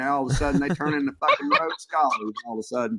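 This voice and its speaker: A man with a Southern US accent talks at a very fast pace with ordinary pitch variation, the sound dry and close with no echo. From US South. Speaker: piercing artist. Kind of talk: casual podcast chat. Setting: podcast recording.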